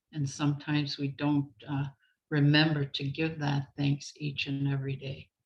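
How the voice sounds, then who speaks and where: A woman speaks in a very deep, low voice that is somewhat breathy. Her pace is moderate and her intonation monotone and flat. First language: Anishinaabemowin (Ojibwe). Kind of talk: prayer. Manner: halting.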